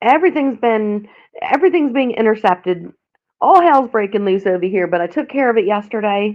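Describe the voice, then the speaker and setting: Her voice fairly high, a woman with an American accent speaks at a moderate pace with lively intonation. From Philadelphia, Pennsylvania, US. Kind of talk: casual chat. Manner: halting.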